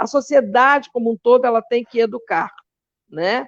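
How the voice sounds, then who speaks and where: The sound is dry and close, without echo. A woman speaks in a high pitch. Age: 60s. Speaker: philosophy teacher and activist. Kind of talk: interview. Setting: live online show. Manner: animated.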